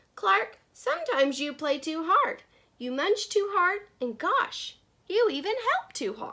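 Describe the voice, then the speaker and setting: In a put-on character voice, a woman squeaks at an extremely high pitch with very wide pitch swings. Her pace is fairly slow. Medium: read story.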